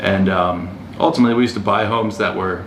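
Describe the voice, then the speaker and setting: A man with an American accent speaks with fairly even intonation. There is audible room echo along with noticeable background noise. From US East Coast, Baltimore area. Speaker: real estate agent and investor. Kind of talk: podcast interview. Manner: casual, with many fillers and restarts.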